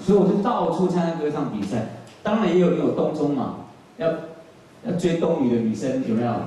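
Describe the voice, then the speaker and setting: Taiwanese-accented and fairly high for a man, his voice moves at a fairly quick pace with very wide pitch swings, long, frequent pauses and strong room echo. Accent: Taiwanese Mandarin. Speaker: singer-songwriter; guest. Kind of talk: talk to audience. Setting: stage with audience. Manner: animated, joking. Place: hall.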